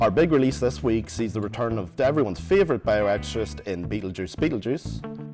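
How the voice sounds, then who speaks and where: Over background music, a man speaks fairly quickly at a fairly low pitch, his voice swinging very widely up and down. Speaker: guest TV host. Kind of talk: TV review show hosting. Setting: studio.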